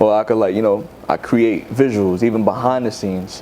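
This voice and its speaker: Over noticeable background noise, a man with an American accent talks at a fairly quick pace and fairly low pitch with ordinary pitch variation. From New York City, Bronx. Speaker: rapper. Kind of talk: interview. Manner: casual, filler-heavy.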